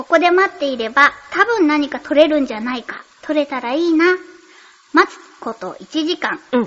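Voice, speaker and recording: Speaking at a moderate pace, a woman with a high voice uses lively intonation and big swings in loudness. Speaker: voice actress and radio host. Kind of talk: casual chat.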